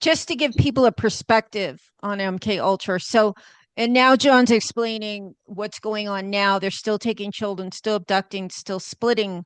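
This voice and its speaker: Over a quiet background, a woman with a plain, everyday voice speaks at medium pitch and a moderate pace with ordinary pitch variation, in dry, close sound with no echo. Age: 60s. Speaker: podcast host. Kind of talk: interview.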